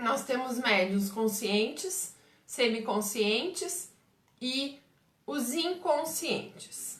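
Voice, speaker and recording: A woman's high voice in a southern Brazilian accent, very slow, with very wide pitch swings and audible room echo. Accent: gaúcho Brazilian Portuguese. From southern Brazil, Pelotas, Rio Grande do Sul. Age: 40s. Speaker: umbanda medium and teacher. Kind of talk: live stream Q&A talk. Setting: Facebook live stream.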